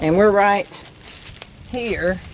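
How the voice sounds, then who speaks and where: A woman with an Alabama accent speaks at a very slow pace in a medium pitch. Her intonation is fairly even, and there is noticeable background noise. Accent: Southern US (Alabama). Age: 60s. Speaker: travel vlogger. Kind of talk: casual chat. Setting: outdoors.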